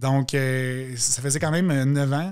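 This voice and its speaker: A man speaks with a fairly high pitch. The background is quiet. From Quebec, Montérégie; Quebec. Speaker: youth political leader, primary teacher; podcast guest. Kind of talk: interview. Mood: relaxed, storytelling. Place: studio. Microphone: studio mic.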